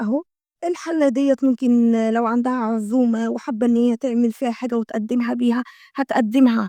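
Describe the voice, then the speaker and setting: A woman with an Egyptian accent, high-pitched yet dark and mellow in tone, fairly even intonation, moderate pace, dry, close sound with no echo. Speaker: homemaking vlogger. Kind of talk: product show-and-tell vlog. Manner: chatty, repetitive fillers.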